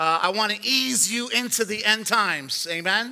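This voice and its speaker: In a raised, projected voice, a man speaks at a fairly slow pace with a bright, sharp tone. His pitch varies in an ordinary way, and the background is quiet. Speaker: pastor. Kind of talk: sermon. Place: church.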